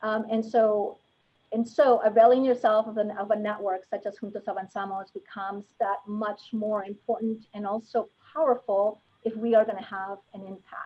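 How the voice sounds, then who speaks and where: A woman talks at a moderate pace with fairly high pitch and fairly even intonation, her loudness swinging widely. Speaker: panel moderator. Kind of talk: panel discussion. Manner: soft-spoken; halting.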